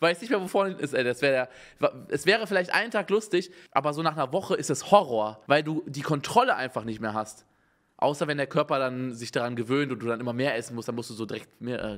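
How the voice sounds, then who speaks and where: A man's fairly high, animated voice with lively intonation at a fairly quick pace. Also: quiet background. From Germany, not Bavaria. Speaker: streamer reacting to videos. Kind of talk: casual live-stream reaction commentary. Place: home room. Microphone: studio mic.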